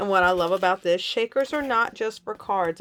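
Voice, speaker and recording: A woman with an unremarkable speaking voice talks at medium pitch and a fairly quick pace. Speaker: scrapbooking instructor. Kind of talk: tutorial. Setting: home craft room.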